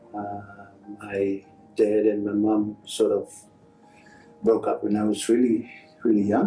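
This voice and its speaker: With long, frequent pauses, a man talks at a very slow pace as music plays in the background. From Fiji. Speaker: rugby union chief executive. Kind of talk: interview answer.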